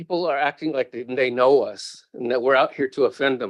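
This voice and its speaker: A man's voice comes through with a dry, close sound and no echo. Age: 60s. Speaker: public testifier. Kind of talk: public testimony. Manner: emotional.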